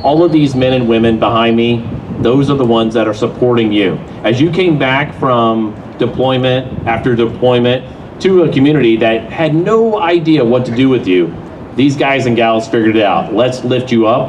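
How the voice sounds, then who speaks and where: A man's medium-pitched voice at a moderate pace, with ordinary pitch variation and very even loudness, plus noticeable background noise and audible room echo. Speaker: master of ceremonies, army veteran. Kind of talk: ceremony emceeing. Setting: stage with audience.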